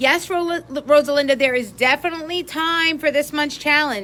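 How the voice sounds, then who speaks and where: A woman speaks in a raised, projected voice with an American accent. Her tone is bright and sharp. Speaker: craft instructor. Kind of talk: live stream craft tutorial. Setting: live video stream. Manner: chatty, greeting viewers.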